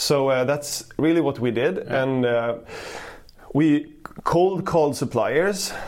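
With noticeable background noise, a man speaks very slowly in a fairly high pitch, showing ordinary pitch variation and very even loudness. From Switzerland then Sweden. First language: Swedish and Swiss German. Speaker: e-commerce founder. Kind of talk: interview. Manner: hesitant, many fillers.

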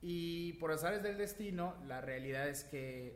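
A man speaks with lively intonation. Noticeable background noise and audible room echo come through as well. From Yucatán, Mexico. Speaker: real estate agent. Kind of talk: interview. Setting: recording studio. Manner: loud; animated.

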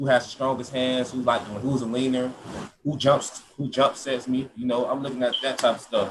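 A man speaks at a moderate pace in a medium pitch, his intonation flat and monotone. Noticeable background noise runs under the recording. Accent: American. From Georgia, Atlanta area. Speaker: college football player. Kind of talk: interview.

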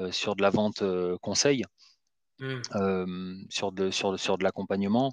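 In a quiet background with a dry, close sound and no echo, a man with a fairly low pitch speaks at a fairly slow pace with fairly even intonation. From Marseille, southern France. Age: 30s. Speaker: recruitment firm director. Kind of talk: interview. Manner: hesitant, many fillers.

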